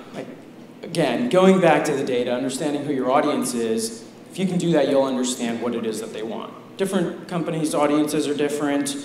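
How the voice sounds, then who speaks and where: Talking at a fairly quick pace with lively intonation, a man is heard over noticeable background noise. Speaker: digital marketing executive. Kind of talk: conference talk. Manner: soft-spoken.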